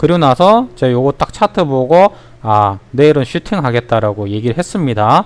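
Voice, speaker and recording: A man at a medium pitch and moderate pace, with lively intonation. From Ulsan, South Korea. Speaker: stock market educator. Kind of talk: livestream stock tutorial. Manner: animated.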